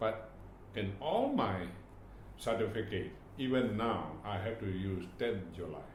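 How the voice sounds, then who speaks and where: Amid noticeable background noise and audible room echo, a man with a Burmese accent speaks fairly slowly in a fairly low pitch, with ordinary pitch variation and long, frequent pauses. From Myanmar. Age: 80s+. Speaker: retired government official. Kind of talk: oral history interview. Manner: halting, with many repetitions.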